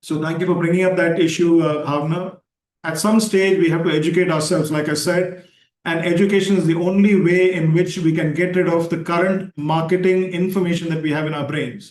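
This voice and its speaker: Here a man speaks at a high pitch and a fairly quick pace. His intonation stays flat and monotone. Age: 60s. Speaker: yoga teacher and talk host. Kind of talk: casual chat. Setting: video call.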